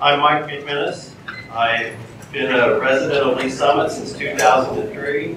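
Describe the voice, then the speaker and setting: In an American accent, the speaker goes at a fairly slow pace with fairly even intonation, over noticeable background noise and audible room echo. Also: man, fairly high pitch for a man. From Springfield, Missouri. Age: 60s. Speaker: school board candidate. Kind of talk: candidate forum opening statement. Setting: public forum with audience.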